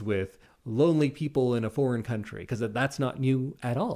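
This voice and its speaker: The man's voice sits at a medium pitch and has a dark, mellow tone, moving at a moderate pace. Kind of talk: casual chat.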